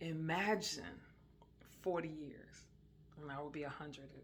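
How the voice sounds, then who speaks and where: Room echo is audible around the voice. Its intonation remains fairly even. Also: woman. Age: 60s. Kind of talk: casual religious talk. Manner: hesitant, many fillers.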